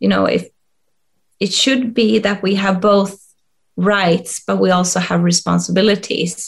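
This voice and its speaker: A woman speaks with a Swedish accent. Her pace is fairly slow. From rural Sweden. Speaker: leadership coach and HR expert. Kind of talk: interview. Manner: halting, many fillers.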